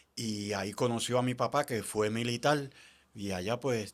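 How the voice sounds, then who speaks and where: A man's normal speaking voice, medium in pitch, with ordinary pitch variation and a fairly slow pace. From Puerto Rico (Canóvanas, Loíza). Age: 60s. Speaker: former basketball player. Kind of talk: casual interview.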